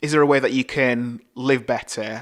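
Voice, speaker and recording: On a very clean recording with a silent background, a man of medium pitch talks at a moderate pace. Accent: Yorkshire. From northern England, Bradford, West Yorkshire. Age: 30s. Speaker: podcast host and video producer. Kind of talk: solo podcast monologue.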